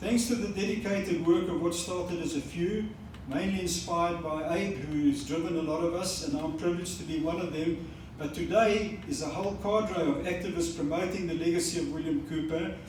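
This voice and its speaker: A high-pitched man with a South African accent speaks fairly quickly, with room echo and noticeable background noise. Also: ordinary pitch variation. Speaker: book launch speaker. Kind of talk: formal speech. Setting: museum event with audience. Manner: formal.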